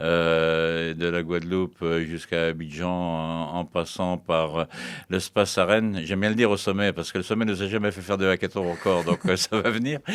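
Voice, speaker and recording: On a very clean recording with a silent background, a man with a very deep, low voice speaks at a moderate pace with fairly even intonation. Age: 60s. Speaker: retired livestock farmer and speaker on farm tech. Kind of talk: interview. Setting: studio. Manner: halting, many fillers.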